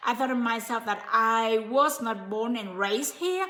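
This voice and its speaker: A woman speaks with a non-native accent. Her fairly high pitch shows ordinary variation. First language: not English. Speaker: motivational speaker / coach. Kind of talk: live stream motivational talk. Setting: live stream. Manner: halting, many fillers.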